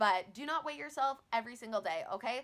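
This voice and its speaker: Loud, animated speech from a woman, bright and sharp in tone, with very wide pitch swings. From Newfoundland, Canada. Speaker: weight loss vlogger. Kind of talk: casual vlog talk to camera.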